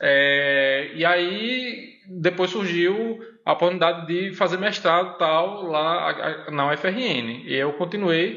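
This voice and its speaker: Very slow speech with ordinary pitch variation, set against noticeable background noise. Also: man, high pitch for a man. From Northeast Brazil, Pernambuco and Mossoró. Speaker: university professor. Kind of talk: casual chat.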